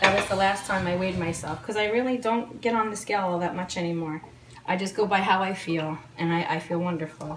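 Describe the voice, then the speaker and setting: Someone with a New Jersey accent talks at a very fast pace over noticeable background noise and audible room echo. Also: woman, medium pitch for a woman, fairly even intonation. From New Jersey, Old Bridge. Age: 40s. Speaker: home cook. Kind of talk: interview testimony. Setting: home kitchen. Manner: halting.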